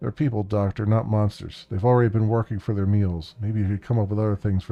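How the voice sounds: A natural reading voice keeps fairly even intonation throughout.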